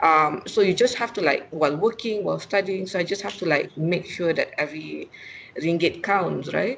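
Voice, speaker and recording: Light background noise runs behind a woman speaking. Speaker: remote guest, finance blogger. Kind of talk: interview answer. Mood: friendly, laughing at times. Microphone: video call.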